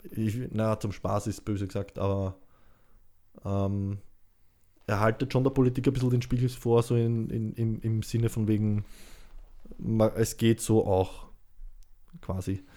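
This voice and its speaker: This man talks at a fairly slow pace with a dark, mellow tone, fairly even intonation, and long, frequent pauses. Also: medium pitch for a man. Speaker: podcast host. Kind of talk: casual interview.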